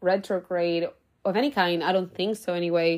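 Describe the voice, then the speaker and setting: A woman's medium-pitched, unremarkable speaking voice at a moderate pace, in a very clean recording with a silent background. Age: 20s. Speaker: podcast host; teacher. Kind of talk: solo monologue podcast. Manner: casual and chatty.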